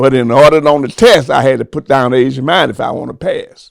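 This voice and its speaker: This man has an animated tone and a fairly high pitch. His pitch varies in an ordinary way. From Alabama. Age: 80s+. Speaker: oral history interviewee. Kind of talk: oral history interview.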